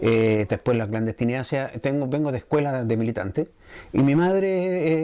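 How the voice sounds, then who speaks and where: A man with a medium pitch, ordinary pitch variation and a dark, mellow tone at a moderate pace. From Chile, Curicó. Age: 60s. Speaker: muralist and artist. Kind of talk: interview testimony. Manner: halting, with frequent fillers.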